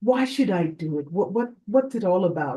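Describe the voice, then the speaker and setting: With a dark, mellow tone and a somewhat breathy quality, a woman speaks fairly slowly with lively intonation. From Nigeria. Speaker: fertility doctor. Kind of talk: interview.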